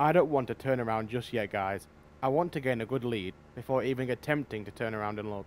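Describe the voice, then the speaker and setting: A man with an unremarkable speaking voice talks at medium pitch and a fairly quick pace, with ordinary pitch variation. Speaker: gaming YouTuber. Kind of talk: gameplay commentary.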